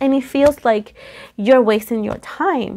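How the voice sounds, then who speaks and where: With a dark, mellow tone, a woman speaks with ordinary pitch variation. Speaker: tarot reader. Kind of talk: tarot reading commentary. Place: home room. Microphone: phone near.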